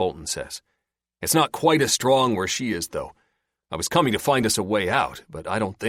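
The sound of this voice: Quiet surroundings, lively intonation and an unforced reading voice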